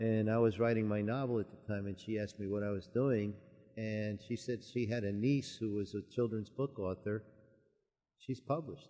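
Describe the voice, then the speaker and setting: A man with an unremarkable speaking voice, fairly low in pitch, with fairly even intonation and a moderate pace. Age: 60s. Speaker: author. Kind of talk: radio interview.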